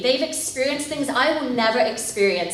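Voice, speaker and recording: A woman speaks at a moderate pace with an American accent, her pitch high and her intonation lively. The room echo is audible, and background noise is noticeable. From England, rural village. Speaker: missionary leader. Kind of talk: testimony.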